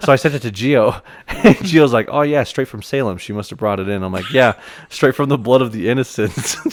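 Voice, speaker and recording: An ordinary speaking voice from a man, medium in pitch, fairly quick, with lively intonation and big swings in loudness. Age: 20s. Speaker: podcast co-host. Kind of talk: casual chat.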